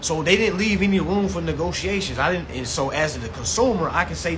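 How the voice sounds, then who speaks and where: A man's animated voice with audible room echo and noticeable background noise. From US South. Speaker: consumer rights educator. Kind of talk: live-stream class. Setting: live stream. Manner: fast.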